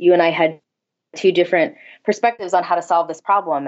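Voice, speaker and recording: With a Midwestern American accent, a woman speaks at a fairly low pitch and a moderate pace. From St. Louis, Missouri. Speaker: copywriter and blogger. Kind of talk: interview.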